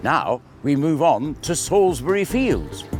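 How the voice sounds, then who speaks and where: This man has a fairly high pitch. Noticeable background noise runs beneath his voice. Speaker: town crier and walking tour guide. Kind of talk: guided walking tour narration, casual talk to camera.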